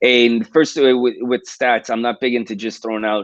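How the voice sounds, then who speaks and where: Speaking with a New York accent, a man keeps a fairly quick pace. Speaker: police detective and suicide prevention researcher. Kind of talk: livestream interview talk. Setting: video livestream. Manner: fast.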